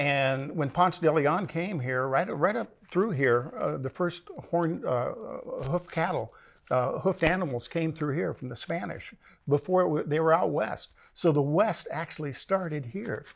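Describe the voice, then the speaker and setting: Speaking at a moderate pace with an American accent, a man uses a fairly high pitch, ordinary pitch variation and vocal fry. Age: 60s. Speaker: western film set owner and trick roper. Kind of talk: interview. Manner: halting.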